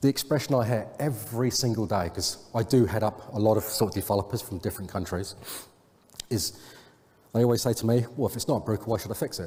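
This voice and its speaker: A man with an English accent speaks fairly quickly in a fairly low, somewhat breathy voice with a dark, mellow tone and ordinary pitch variation, leaving long, frequent pauses. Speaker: software consultant. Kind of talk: conference talk. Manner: fast.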